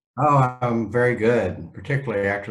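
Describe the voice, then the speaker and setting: The fairly even intonation comes through over noticeable background noise and audible room echo. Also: man. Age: 60s. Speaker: psychiatrist. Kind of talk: interview.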